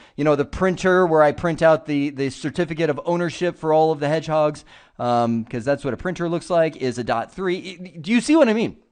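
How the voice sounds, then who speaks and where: Against a quiet background, a man speaks fairly quickly at a fairly high pitch. His tone is animated and his intonation lively. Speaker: IT trainer. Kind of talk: video tutorial.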